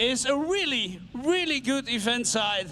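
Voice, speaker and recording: A man's raised, projected voice with a Dutch accent and a bright, sharp tone. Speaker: tractor pulling event organiser and co-commentator. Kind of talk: live commentary. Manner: halting.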